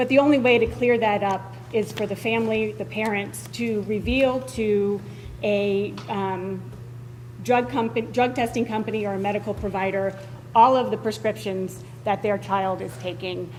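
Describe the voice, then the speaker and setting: Loud and at a medium pitch, a woman speaks at a moderate pace with very wide pitch swings amid noticeable background noise. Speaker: school board member. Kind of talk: public meeting debate. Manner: hesitant, many fillers.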